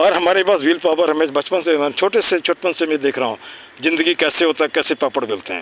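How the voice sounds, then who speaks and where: Fairly high-pitched male speech with noticeable noise in the background. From Bihar, India (Munger area). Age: 60s. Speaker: community activist and English tutor. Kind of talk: casual outdoor chat with students. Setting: outdoors in a park. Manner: animated.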